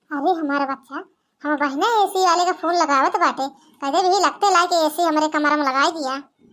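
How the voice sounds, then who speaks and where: Using a cartoonish character voice, a woman speaks at an extremely high pitch with fairly even intonation and a moderate pace. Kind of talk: comic village cartoon voice.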